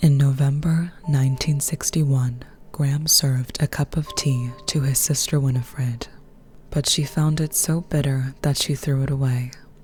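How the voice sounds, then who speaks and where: Music plays behind a woman with a very deep, low pitch. She talks at a moderate pace with flat, monotone intonation and very even loudness. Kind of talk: true crime story narration. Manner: soft-spoken.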